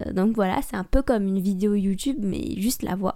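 A woman's mumbling at medium pitch with a dark, mellow tone. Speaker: podcast host. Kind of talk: solo casual monologue. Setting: home recording with microphone.

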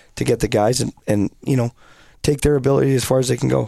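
In a Canadian accent, a dark, mellow voice races along at a very fast pace on a very clean recording with a silent background. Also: man. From British Columbia, Canada. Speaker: hockey coach. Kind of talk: casual interview.

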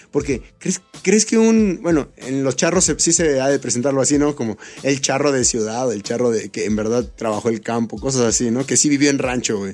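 Over noticeable background noise, a man speaks at a moderate pace. His medium-pitched voice has lively intonation. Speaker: beatmaker and rapper. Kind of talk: casual chat.

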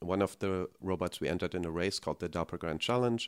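A man with a very deep, low voice speaks fairly quickly with fairly even intonation, recorded very cleanly against a silent background with a dry, close sound and no echo. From Germany. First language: German. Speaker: technology executive. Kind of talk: interview.

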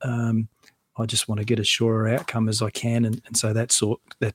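This man's voice sits at a medium pitch and comes out somewhat breathy. His intonation stays flat and monotone, and the sound is dry and close with no echo. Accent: Australian. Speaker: financial adviser and author. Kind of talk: casual interview chat. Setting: podcast studio in a home garage.

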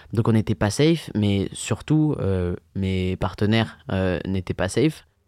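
Lively intonation runs through a man's fairly low, dark, mellow voice at a fairly slow pace. The recording is very clean with a silent background and has a dry, close sound with no echo. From France, Yvelines (Paris region). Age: 20s. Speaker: events and bar worker. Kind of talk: personal testimony. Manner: halting, with fillers.

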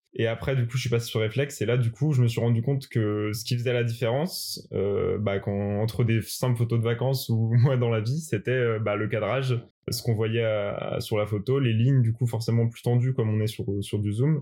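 On a very clean recording with a silent background, a man of medium pitch speaks at a moderate pace in a dark, mellow, somewhat breathy tone with fairly even intonation. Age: 20s. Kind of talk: interview. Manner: hesitant, many fillers.

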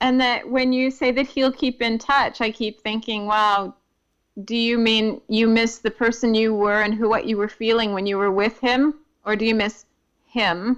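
A normal speaking voice, a woman's, with an American accent, fairly high pitch, fairly even intonation and a moderate pace over a quiet background. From United States. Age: 50s. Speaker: poet and playwright. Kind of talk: casual chat.

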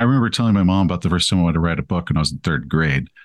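An American accent from a man, set against a quiet background. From East Texas. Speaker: author and game master. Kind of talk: casual interview.

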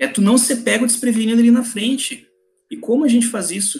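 A man speaks at an extremely high pitch. His pace is moderate. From southern Brazil, Porto Alegre. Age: 30s. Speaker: finance professional giving career advice. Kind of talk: podcast interview.

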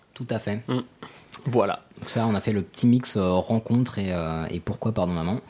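A man at a fairly low pitch and moderate pace, fairly even intonation, long, frequent pauses, and noticeable background noise. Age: 20s. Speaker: podcast host. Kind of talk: casual chat. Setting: studio. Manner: halting.

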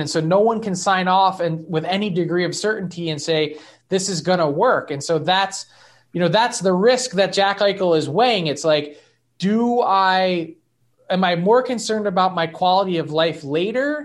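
With an American accent, a man speaks at a moderate pace in a high pitch with ordinary pitch variation. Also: quiet background. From Philadelphia, US. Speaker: hockey insider. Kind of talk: casual interview.

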